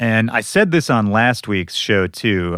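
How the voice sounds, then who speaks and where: A man with an American accent and an unremarkable speaking voice talks at a moderate pace, his pitch fairly low and his intonation lively. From Minnesota, US Midwest. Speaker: podcast host, DJ. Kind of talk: podcast intro monologue. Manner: casual, conversational.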